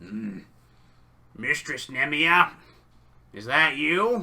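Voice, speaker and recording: A man does a put-on character voice at a fairly high pitch and a very slow pace. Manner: calling out.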